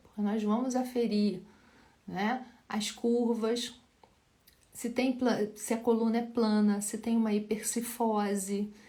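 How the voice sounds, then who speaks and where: A woman with a fairly high pitch and a dark, mellow tone speaks at a fairly slow pace amid audible room echo. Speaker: physiotherapist teaching live. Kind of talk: live Q&A lecture.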